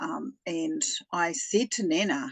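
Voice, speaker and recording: Somewhat breathy and fairly high, this woman's voice has very wide pitch swings. She speaks with a New Zealand accent. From New Zealand, Taranaki. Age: 60s. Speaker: retired spiritual healer. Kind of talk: personal testimony in interview.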